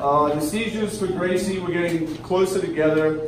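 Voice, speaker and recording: The voice moves at a moderate pace with ordinary pitch variation, set against audible room echo and light background noise. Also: man. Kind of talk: emotional speech to audience. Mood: earnest, emotional. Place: bar. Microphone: camera far.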